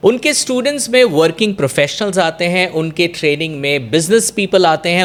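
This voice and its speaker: With a Bengali accent, a man speaks in a high pitch. His intonation is lively. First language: Bengali (speaking Hindi). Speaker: talk show host. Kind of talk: podcast interview with Hindi-English code-switching.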